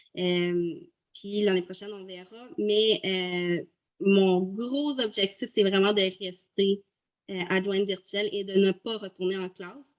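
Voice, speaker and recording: Speaking very slowly with a Quebec accent, a woman keeps a medium pitch and fairly even intonation while her loudness swings widely. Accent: Québécois French. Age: 30s. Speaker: virtual assistant, former teacher. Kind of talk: testimony interview. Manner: halting, many hesitations.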